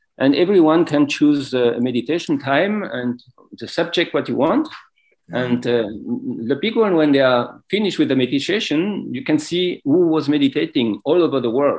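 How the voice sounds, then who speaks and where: Lively intonation in a fairly high-pitched male voice. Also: moderate pace. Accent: non-native. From France. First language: French. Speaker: yoga teacher and wellness business owner. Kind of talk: interview. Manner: halting.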